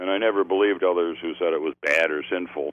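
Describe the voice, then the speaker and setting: Here a man speaks with an American accent. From US Midwest (Chicago suburbs). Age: 70s. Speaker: LGBTQ activist and foundation board member. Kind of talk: interview.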